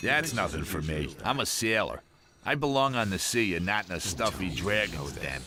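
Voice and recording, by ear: A man puts on a character voice with a bright, sharp tone at a low pitch. His intonation is lively and his pace moderate.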